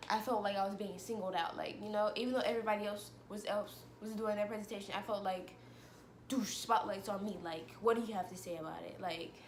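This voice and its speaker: Over noticeable background noise and audible room echo, a woman with a medium pitch talks at a fairly quick pace with fairly even intonation. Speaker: vlogger. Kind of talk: personal vlog monologue. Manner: fast.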